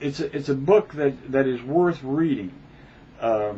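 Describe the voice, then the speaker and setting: A fairly high-pitched man at a fairly slow pace, with noticeable background noise. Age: 60s. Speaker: book reviewer vlogger. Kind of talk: casual monologue. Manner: halting, many fillers.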